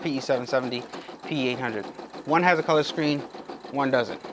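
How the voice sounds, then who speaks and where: Noticeable background noise accompanies a voice with an animated tone. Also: man. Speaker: YouTuber demonstrating machine embroidery. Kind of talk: tutorial. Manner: fast; casual, animated.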